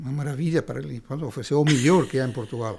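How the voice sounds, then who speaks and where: At a very fast pace, a man talks in a dark, mellow tone on a very clean recording with a silent background. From Spain, Andalusia. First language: Spanish (speaking Portuguese). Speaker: writer and lawyer. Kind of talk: interview. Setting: studio podcast. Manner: halting, many repetitions.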